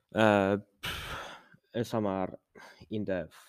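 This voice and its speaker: A man with a non-native accent talks at a fairly low pitch. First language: not English. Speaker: podcast host. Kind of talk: casual monologue. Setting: home recording with background noise. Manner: halting; frequent sighs and fillers.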